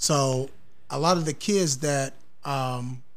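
With ordinary pitch variation, this man's voice is wrapped in audible room echo. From US Midwest, south side of Columbus, Ohio. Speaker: recreation center worker and kidney disease patient. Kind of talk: casual interview.

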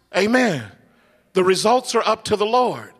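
In an animated tone, a man talks at a high pitch and a fairly slow pace. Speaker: preacher. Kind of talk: sermon. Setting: church with congregation. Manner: animated, preaching with fervent call-and-response; loud, rhythmic repetition.

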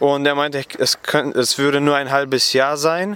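A man with a fairly high voice. His tone is bright and sharp. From western Germany, Gummersbach near Cologne. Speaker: Bible school student. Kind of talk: interview. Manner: halting, many fillers.

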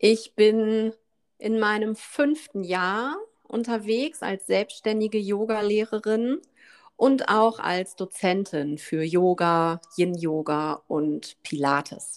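A woman speaks at a very slow pace. Her fairly high voice carries lively intonation. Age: 40s. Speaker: yoga teacher and podcast co-host. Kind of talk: casual chat.

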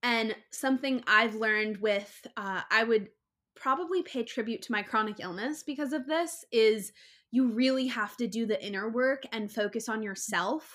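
A woman with a fairly high voice speaks at a fairly slow pace in a bright, sharp, animated tone with ordinary pitch variation. The recording is very clean, with a silent background. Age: 20s. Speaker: content creator and influencer. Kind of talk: casual interview chat.

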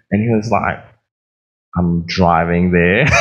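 With audible room echo around him, a man speaks at a moderate pace in an American accent. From Australia. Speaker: pastor. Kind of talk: sermon.

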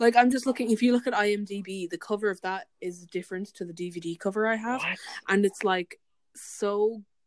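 A woman speaks with an Irish accent at a moderate pace. Her pitch is medium, with ordinary pitch variation. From Ireland. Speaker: podcast co-host. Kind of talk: casual chat. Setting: video call. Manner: animated.

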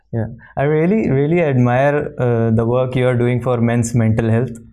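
A man speaks at medium pitch and moderate pace in a dark, mellow tone. There is audible room echo. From India. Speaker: podcast host. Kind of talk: interview.

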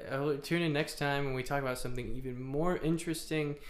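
Fairly even intonation and a moderate pace in an unremarkable speaking voice. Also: man. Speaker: podcast co-host. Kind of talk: casual chat.

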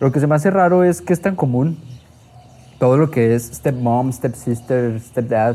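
A man's dark, mellow, medium-pitched voice at a fairly slow pace, with very even loudness. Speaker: podcast host. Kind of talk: casual chat.

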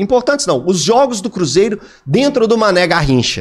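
This man's voice swings very widely in pitch. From Minas Gerais interior, Divinópolis. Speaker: sports commentator. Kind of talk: casual chat.

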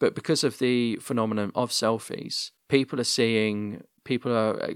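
A man's medium-pitched voice with a British accent, fairly even intonation, and a dry, close sound with no echo on a very clean recording over a silent background. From UK. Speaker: podcast host. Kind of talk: casual interview chat. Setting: home recording, internet podcast.

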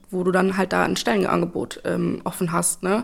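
A woman is speaking. She keeps a moderate pace. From Germany, East Westphalia (Espelkamp). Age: 20s. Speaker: media psychologist and social media consultant. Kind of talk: casual interview.

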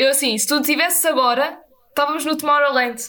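A woman with a European Portuguese accent speaks at a fairly quick pace in a high, raised, projected voice with ordinary pitch variation. Room echo is audible, along with noticeable background noise. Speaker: podcast co-host. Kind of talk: casual chat.

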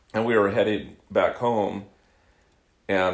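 Audible room echo fills the recording. A man speaks at a fairly slow pace. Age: 50s. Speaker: podcast co-host, car dealer. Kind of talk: casual chat.

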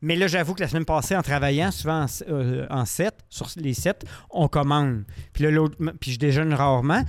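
A man with a Quebec accent and a fairly high pitch speaks at a moderate pace with ordinary pitch variation and long, frequent pauses, on a very clean recording with a silent background. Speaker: podcast co-host. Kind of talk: casual chat. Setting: studio.

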